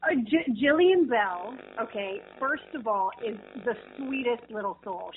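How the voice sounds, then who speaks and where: The speaker has an American accent and lively intonation at a fairly slow pace. Noticeable background noise is present. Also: woman. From New Jersey. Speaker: actress. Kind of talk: casual interview. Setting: phone call.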